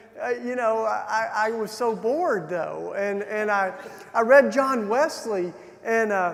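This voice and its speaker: Speaking at a fairly slow pace with a Southern US accent, a man uses a high voice with ordinary pitch variation, and room echo is audible. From Tennessee, US South. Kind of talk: keynote talk with personal testimony. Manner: hesitant, many fillers and restarts.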